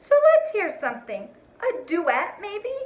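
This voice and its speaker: Putting on a squeaky character voice, a woman speaks fairly slowly at an extremely high pitch with very wide pitch swings. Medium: read story. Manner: teasing, cheeky.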